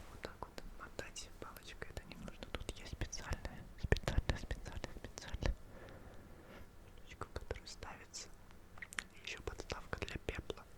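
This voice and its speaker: A man's whisper at a moderate pace with big swings in loudness, long, frequent pauses and noticeable background noise. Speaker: ASMR creator. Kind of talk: ASMR sleep relaxation. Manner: whispered.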